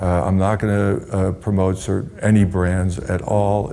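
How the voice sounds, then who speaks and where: A man with a very deep, low pitch and a dark, mellow tone speaks with fairly even intonation. He talks at a fairly slow pace in a room with audible echo. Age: 60s. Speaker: pharmaceutical industry veteran, health website owner. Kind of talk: interview. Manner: halting.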